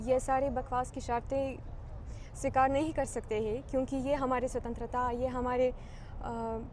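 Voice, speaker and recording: Room echo is audible as a woman speaks with a Ukrainian accent. Her pitch is high. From Ukraine. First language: Ukrainian (speaking Hindi). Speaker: diplomat. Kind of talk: interview. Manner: halting, many hesitations.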